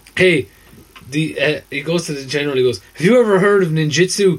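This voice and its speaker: A man with an Irish accent talks fairly quickly at a high pitch. His pitch varies in an ordinary way, with noticeable background noise around him. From southern Ireland (Waterford). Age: 30s. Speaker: podcast co-host. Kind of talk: casual chat. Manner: animated.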